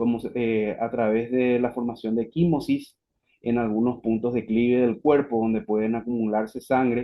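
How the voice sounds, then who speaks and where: A man with a Paraguayan accent speaks at a very even loudness, his intonation monotone and flat. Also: medium pitch for a man, moderate pace. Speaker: physician, webinar speaker. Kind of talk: lecture. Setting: online webinar.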